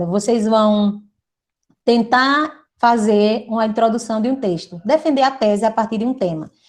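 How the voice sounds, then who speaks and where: Her voice is an ordinary speaking voice, a woman's at a fairly high pitch with ordinary pitch variation. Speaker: teacher. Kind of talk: lecture.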